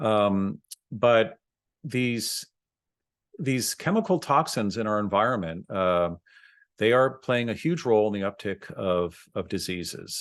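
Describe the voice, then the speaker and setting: A man with a fairly low pitch and ordinary pitch variation speaks at a fairly slow pace against a quiet background. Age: 60s. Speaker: dentist, podcast host; podcast host. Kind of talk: educational monologue. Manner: halting, many fillers. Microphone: webcam.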